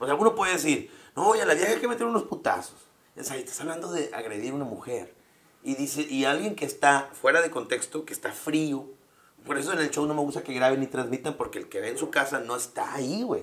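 A man's fairly high voice with lively intonation at a very fast pace, over noticeable background noise. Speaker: stand-up comedian. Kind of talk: casual chat.

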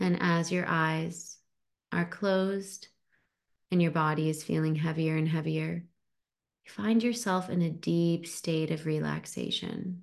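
A woman talks in a plain, everyday voice, pitched fairly low. Her intonation is fairly even and her pace fairly slow. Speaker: podcast host and mind-body coach. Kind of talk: guided hypnosis, leading a relaxation visualization. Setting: online masterclass over video call with live participants. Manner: slow, soothing, calm and hypnotic, with gentle pauses.

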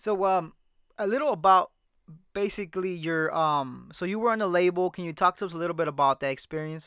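A man with an American accent, high in pitch, at a fairly quick pace. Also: ordinary pitch variation, quiet background. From Salinas, California. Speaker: podcast host. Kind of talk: interview. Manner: animated.

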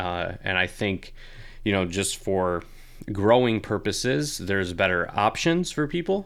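Using a normal speaking voice, a man talks at a fairly slow pace, fairly low in pitch with lively intonation. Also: very clean recording, silent background. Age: 20s. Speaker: fitness coach and podcast host. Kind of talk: casual Q&A monologue. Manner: frequent filler words, casual.

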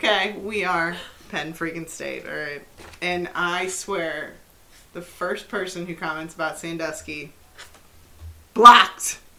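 Amid noticeable background noise and audible room echo, a woman with a fairly low pitch speaks in an animated tone at a fairly slow pace, with big swings in loudness and long, frequent pauses. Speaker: podcast co-host. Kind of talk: casual chat.

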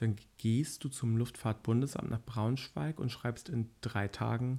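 On a very clean recording with a silent background, a man with a dark, mellow tone speaks at a very slow pace with fairly even intonation. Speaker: pilot trainee. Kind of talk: casual chat.

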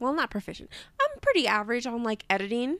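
A woman speaks with an American accent. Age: 20s. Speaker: podcast co-host. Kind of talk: casual chat. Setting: hotel room recording.

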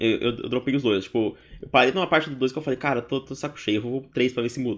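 Here a man talks at a very fast pace. His pitch sits in the medium range. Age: 20s. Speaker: podcast co-host. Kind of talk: casual chat.

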